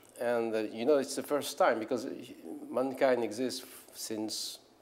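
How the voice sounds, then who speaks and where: In a room with audible echo, a man talks at a medium pitch with fairly even intonation. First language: French. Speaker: philosopher and scholar. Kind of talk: lecture. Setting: conference stage with audience. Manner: halting, many fillers and repetitions.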